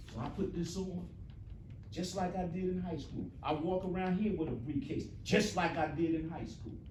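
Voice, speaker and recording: Over noticeable background noise and audible room echo, a man speaks in an animated tone at a moderate pace, high-pitched with ordinary pitch variation. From New Jersey, US. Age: 60s. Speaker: motivational speaker. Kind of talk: motivational talk to students.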